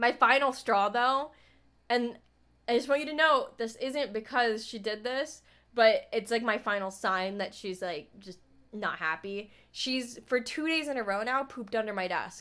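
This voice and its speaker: A woman speaks loudly at a fairly slow pace, her pitch fairly high with ordinary variation. The recording is very clean, with a silent background. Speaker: streamer. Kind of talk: casual chat.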